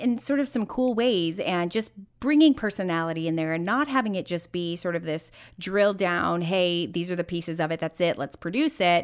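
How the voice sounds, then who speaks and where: A woman with a normal speaking voice talks at a moderate pace and medium pitch with lively intonation against a quiet background. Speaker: podcast host. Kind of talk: interview, casual conversational.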